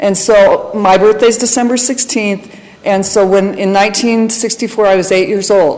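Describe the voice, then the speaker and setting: Moderately paced speech from a woman at a medium pitch, ordinary pitch variation, noticeable noise in the background. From Colorado, US. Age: 50s. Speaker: church member sharing testimony. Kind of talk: testimony.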